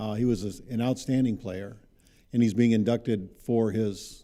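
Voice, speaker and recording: Speaking at a moderate pace, a man uses a fairly low pitch and a dark, mellow tone with fairly even intonation. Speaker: baseball commissioner and coach. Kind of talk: casual interview chat. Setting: studio. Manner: soft-spoken.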